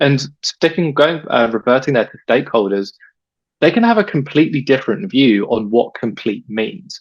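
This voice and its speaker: Speaking fairly quickly with an English accent, a man uses lively intonation. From England. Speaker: data expert, webinar presenter. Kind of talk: webinar presentation.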